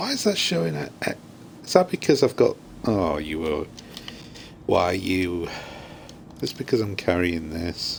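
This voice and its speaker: Mumbling at a fairly slow pace with long, frequent pauses, a man with a British accent is heard over noticeable background noise. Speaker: video game streamer. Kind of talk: live gameplay commentary. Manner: mumbling to himself.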